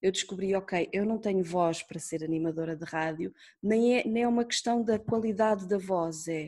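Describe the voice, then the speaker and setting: Fairly even intonation carries this speech along at a moderate pace. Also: woman. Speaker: radio producer. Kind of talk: interview. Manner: talkative.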